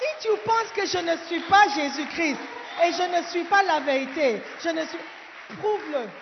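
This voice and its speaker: Speaking at a fairly slow pace, a woman uses an extremely high pitch with lively intonation and an animated tone. Noticeable background noise sits behind her. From Ghana. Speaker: pastor. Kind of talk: sermon. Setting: church.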